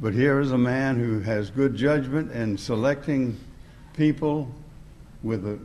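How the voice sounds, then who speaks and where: Speaking at a moderate pace, a man uses ordinary pitch variation. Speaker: preacher. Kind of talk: speaker introduction. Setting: church. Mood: warm, respectful. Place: church. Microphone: podium.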